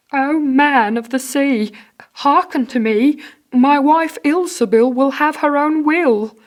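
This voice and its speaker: In a very clean recording with a silent background, a female-sounding voice takes on a put-on character voice with a high pitch at a fairly slow pace. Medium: read story. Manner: timid, reluctant.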